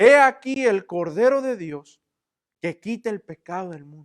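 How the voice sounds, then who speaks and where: Loud and booming, a put-on character voice rolls along at a fairly slow pace with a fairly high pitch. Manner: loud, booming.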